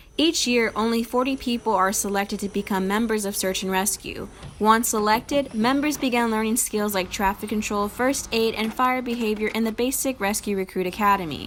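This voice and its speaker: With noticeable background noise behind her, a woman talks at a fairly quick pace with hardly any pauses and ordinary pitch variation. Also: fairly high pitch for a woman. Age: 20s. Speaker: student journalist. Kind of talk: news report. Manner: formal.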